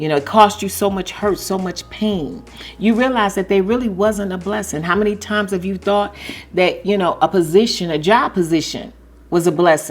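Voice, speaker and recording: At a moderate pace, a woman talks at a medium pitch with ordinary pitch variation. Hers is an unremarkable speaking voice. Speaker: YouTube commentary vlogger. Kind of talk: casual commentary monologue.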